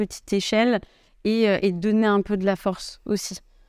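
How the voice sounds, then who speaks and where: A woman speaks at a medium pitch and moderate pace on a very clean recording with a silent background. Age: 20s. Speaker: startup co-founder. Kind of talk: casual chat. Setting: office.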